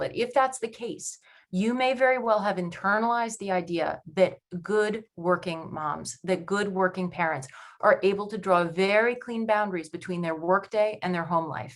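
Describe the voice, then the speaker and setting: A woman speaks with a normal speaking voice and an American accent. Her pitch is medium, her intonation lively, and her pace moderate. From New York. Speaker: panelist, working-parent coach. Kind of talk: webinar presentation.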